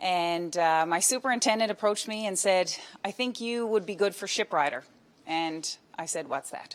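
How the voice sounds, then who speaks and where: Speaking with a Newfoundland accent, a woman uses a medium pitch with ordinary pitch variation. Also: moderate pace. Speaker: police constable. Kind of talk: storytelling talk at book launch. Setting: book launch event with live audience.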